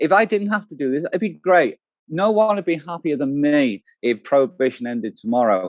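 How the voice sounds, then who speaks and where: With a British accent, a man talks fairly quickly at a fairly high pitch with very wide pitch swings, in a dry, close sound with no echo. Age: 60s. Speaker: cannabis activist. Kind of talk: interview. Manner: hesitant.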